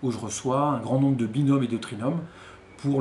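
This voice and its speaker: Audible room echo surrounds this recording. A man talks very fast. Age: 40s. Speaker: HR consultant and mentor. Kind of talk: interview testimony.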